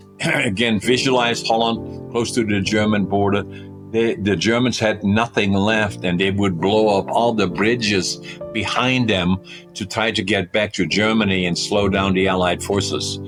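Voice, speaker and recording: With a Dutch accent, the voice holds very even loudness and fairly even intonation while music plays in the background. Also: man, fairly low pitch for a man, moderate pace. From Netherlands. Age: 80s+. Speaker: company CEO. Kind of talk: podcast interview answer.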